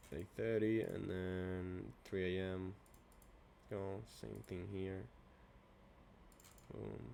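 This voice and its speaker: A soft-spoken man talks at a very slow pace, leaving long, frequent pauses. His very deep, low voice has a dark, mellow tone. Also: ordinary pitch variation. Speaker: trader streaming backtesting. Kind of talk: casual trading tutorial. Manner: halting. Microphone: good mic.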